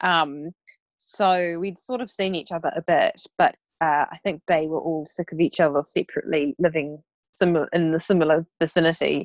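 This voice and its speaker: With a New Zealand accent, a woman speaks at a moderate pace in a fairly low pitch and fairly even intonation, the sound dry and close with no echo against a quiet background. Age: 30s. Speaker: blogger and investment advisor. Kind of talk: casual chat.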